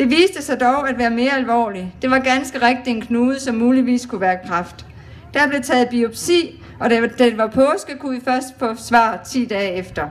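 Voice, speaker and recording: A woman with a high, shaky voice speaks at a fairly slow pace. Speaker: cancer survivor speaking at charity event. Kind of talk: public speech. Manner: trembling voice.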